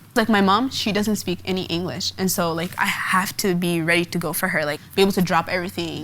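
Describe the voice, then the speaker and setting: A woman with an American accent, medium in pitch, speaking at a very fast pace with fairly even intonation, amid noticeable background noise. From Portland, Oregon (US Pacific Northwest). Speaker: college student. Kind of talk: documentary interview.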